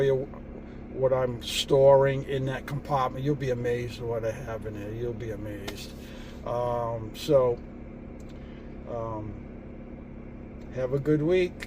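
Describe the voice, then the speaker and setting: A man's relaxed, fairly slow speech with long, frequent pauses, big swings in loudness and noticeable background noise. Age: 70s. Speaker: van life vlogger. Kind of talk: casual vlog talk to camera. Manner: relaxed, halting with fillers.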